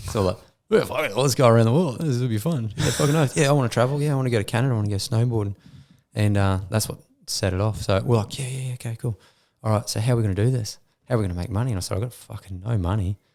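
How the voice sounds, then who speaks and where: A man with an Australian accent at a very fast pace, medium pitch and ordinary pitch variation, in a very clean recording with a silent background. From Queensland, Australia. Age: 30s. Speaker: former mining worker and business owner. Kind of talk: casual chat. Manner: animated.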